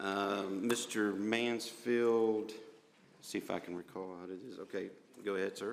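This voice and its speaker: With a Southern US accent, a man talks at a fairly slow pace and fairly low pitch, his intonation monotone and flat. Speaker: county commission chairman. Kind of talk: public meeting chairing. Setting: commission chambers. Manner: halting.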